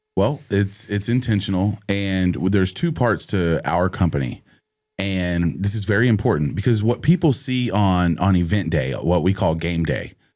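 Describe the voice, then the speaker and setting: A man with an unremarkable speaking voice talks at a moderate pace, his fairly low pitch moving with ordinary variation. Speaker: charity auctioneer. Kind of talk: interview answer.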